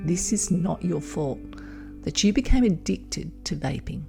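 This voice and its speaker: Over music in the background, a woman speaks in a calm, soothing tone. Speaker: hypnotherapist and midwife. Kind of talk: hypnosis audio program. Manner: calm, slow, soothing.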